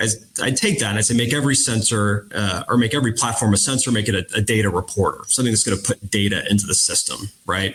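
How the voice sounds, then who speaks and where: A very fast voice with an American accent, fairly even intonation and hardly any pauses, over noticeable background noise. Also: man, medium pitch for a man. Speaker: defense industry executive. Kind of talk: panel discussion.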